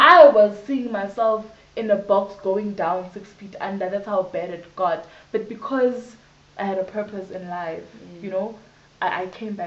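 A woman speaks at a fairly slow pace. Room echo is audible around her voice. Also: ordinary pitch variation, big swings in loudness. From South Africa, Johannesburg. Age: 20s. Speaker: HIV/AIDS activist; interviewee. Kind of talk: interview testimony. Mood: earnest, reflective. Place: home room. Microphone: camera far.

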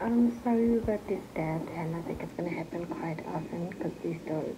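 A woman's voice against noticeable background noise. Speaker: expectant mother vlogger. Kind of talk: casual vlog chat. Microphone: phone near.

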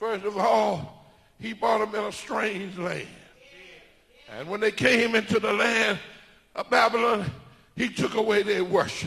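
A man with a high pitch and an animated tone speaks at a fairly slow pace. He leaves long, frequent pauses. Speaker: preacher. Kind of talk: sermon. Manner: animated, emphatic, preaching cadence. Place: church. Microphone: handheld.

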